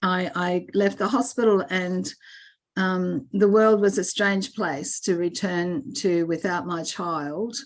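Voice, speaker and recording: Against a quiet background, a woman speaks at a very slow pace in a medium pitch with ordinary pitch variation. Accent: Australian. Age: 60s. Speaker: birth mother sharing her adoption story. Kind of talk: testimony. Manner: halting, with many repeated words and fillers.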